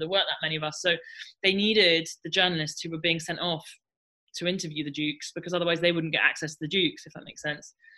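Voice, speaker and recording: At a very fast pace, a woman speaks with a fairly low pitch and a bright, sharp tone. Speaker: journalist and author. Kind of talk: interview conversation. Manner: casual, chatty with fillers.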